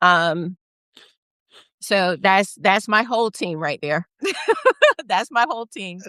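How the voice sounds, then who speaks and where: An American-accented woman speaks very slowly at a medium pitch, with long, frequent pauses and ordinary pitch variation. Her tone is bright and sharp, and the sound is dry and close with no echo. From United States. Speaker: congressional candidate. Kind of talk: casual interview. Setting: live video stream.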